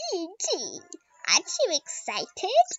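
A put-on character voice sits at an extremely high pitch. The delivery is fairly slow.

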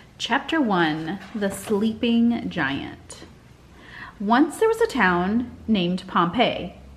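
Somewhat breathy, a woman talks at a very slow pace with lively intonation. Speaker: teacher. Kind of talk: reading aloud to children. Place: home room. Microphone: webcam.

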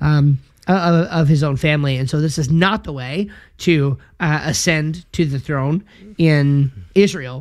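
A man's fairly high voice at a fairly slow pace, with fairly even intonation against a quiet background. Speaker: podcast co-host, Bible teacher. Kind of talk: casual discussion of a Bible passage. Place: home room. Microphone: studio mic.

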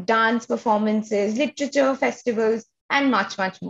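There's a woman's voice here. It carries a somewhat breathy quality. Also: quiet background. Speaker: arts organization host. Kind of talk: online event introduction. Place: home room. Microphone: webcam.

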